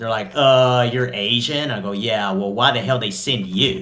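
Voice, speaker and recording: Speaking with a Southern US accent, a man at medium pitch has a bright, sharp tone with vocal fry. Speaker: podcast co-host. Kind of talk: heated debate. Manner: animated.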